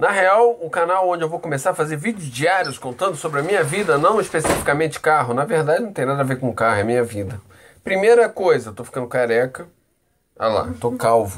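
With very wide pitch swings, a man speaks quite quickly at a fairly high pitch. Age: 30s. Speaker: vlogger. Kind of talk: casual vlog monologue. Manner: animated.

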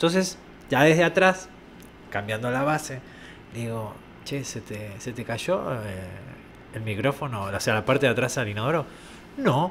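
Lively intonation and big swings in loudness mark this man's moderate-paced speech. He leaves long, frequent pauses over light background noise. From Argentina. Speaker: location sound recordist; guest. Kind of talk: casual chat. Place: studio. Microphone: studio mic.

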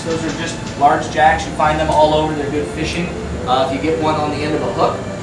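A man talks fairly quickly, with noticeable background noise and audible echo from the room. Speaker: aquarium dive guide. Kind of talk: guided briefing talk. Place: hall. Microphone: camera far.

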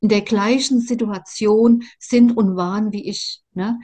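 A somewhat breathy woman with a fairly high pitch and a dark, mellow tone, at a very slow pace with ordinary pitch variation, over a quiet background. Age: 60s. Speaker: survivor of narcissistic abuse sharing her story; interviewee. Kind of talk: personal testimony interview. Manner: halting, many fillers and repetitions. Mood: earnest, emotional. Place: home room. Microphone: video call.

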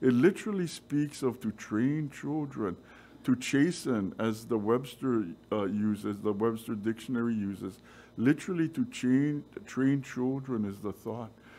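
A man's dark, mellow voice, fairly slow in pace, with ordinary pitch variation. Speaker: preacher. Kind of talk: sermon. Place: church. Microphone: podium.

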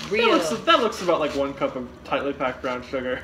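A man talks at a fairly quick pace with very wide pitch swings. Noticeable noise sits in the background. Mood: playful, joking, laughing. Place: kitchen. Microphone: phone near.

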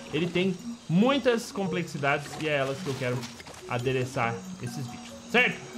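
A man talks at an even, middling speed while soft music plays faintly behind him. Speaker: gamer. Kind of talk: gameplay commentary.

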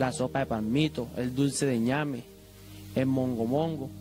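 Clear music plays behind a man speaking at a fairly slow pace. His pitch varies in an ordinary way. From Colombia. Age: young. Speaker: religious festival volunteer and image restorer. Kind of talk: interview answer. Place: hall. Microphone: handheld.

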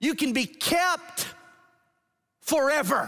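A man with an American accent. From Georgia, US South. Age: 40s. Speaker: pastor. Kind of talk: sermon. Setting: church. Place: church.

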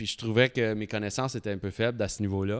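An unremarkable speaking voice with fairly even intonation. The recording is very clean with a silent background, and the sound is dry and close with no echo. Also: man. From Embrun, Eastern Ontario. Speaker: brewery owner. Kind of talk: casual chat. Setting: brewery.

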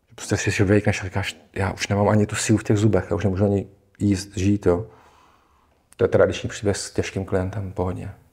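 A man speaks at a fairly quick pace with a fairly low pitch and monotone, flat intonation. His voice is somewhat breathy, and the background is quiet. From Czech Republic. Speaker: psychosomatic therapist; guest. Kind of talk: casual interview. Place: studio. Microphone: lapel.

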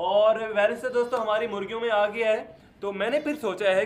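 A man's high-pitched voice with fairly even intonation

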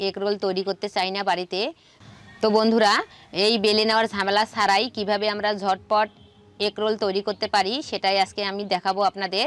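A woman speaks with monotone, flat intonation. The sound is dry with no echo. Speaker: village cooking channel host. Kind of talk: cooking tutorial intro. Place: open country.

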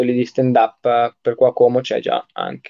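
A man speaking at a fairly slow pace. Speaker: live-stream host. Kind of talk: casual online interview. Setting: video call.

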